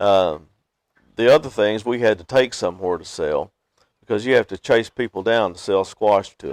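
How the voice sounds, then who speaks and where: Speaking with a Kentucky accent at a moderate pace, a man uses a fairly low pitch with ordinary pitch variation and big swings in loudness, in a dry, close sound with no echo. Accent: western Kentucky Southern US. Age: 60s. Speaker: beekeeper. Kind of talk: interview. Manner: halting, frequent uh fillers.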